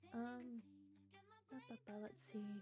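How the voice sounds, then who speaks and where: A soft-spoken woman talks at a fairly slow pace. Her fairly high voice is somewhat breathy. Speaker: vtuber streamer. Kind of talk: casual gaming livestream.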